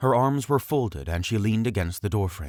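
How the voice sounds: The text is read in a natural reading voice. Its intonation is lively.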